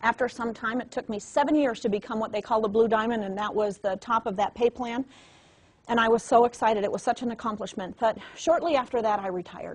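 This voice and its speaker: A woman's fairly high, somewhat breathy voice at a very fast pace. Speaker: network marketing trainer. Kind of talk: motivational training talk. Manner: animated.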